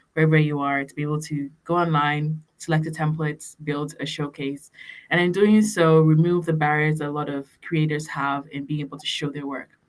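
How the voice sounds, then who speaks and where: This woman's voice is very deep and low. She speaks at a moderate pace with flat, monotone intonation. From Ghana, Canada and UK. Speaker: startup founder and CEO. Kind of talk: podcast interview. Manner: hesitant, many fillers.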